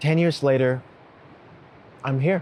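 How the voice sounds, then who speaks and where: Calm and dark, mellow in tone, a man speaks at a fairly slow pace with ordinary pitch variation. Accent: American. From United States, immigrated from a Cantonese-speaking place at ten. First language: Cantonese. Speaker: writer and creator of a letter series. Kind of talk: reflective personal narration. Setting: outdoors on a beach at dawn. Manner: slow and calm.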